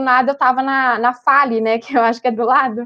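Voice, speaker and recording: A woman's high voice at a very fast pace, with fairly even intonation. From São Paulo city, Brazil. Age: 20s. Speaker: economics student. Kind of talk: casual chat.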